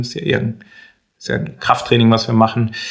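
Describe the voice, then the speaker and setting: A man talks at a fairly quick pace and a medium pitch. He has a plain, everyday voice. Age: 30s. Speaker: entrepreneur and coach. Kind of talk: casual interview.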